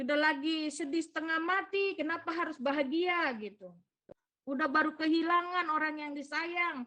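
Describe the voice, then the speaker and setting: A woman with a slight Papuan accent uses a raised, projected voice at a high pitch. She keeps a moderate pace. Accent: slight Papuan accent after visiting home. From Papua, Indonesia. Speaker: lay preacher at prayer meeting. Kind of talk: sermon. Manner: conversational, uses gitu.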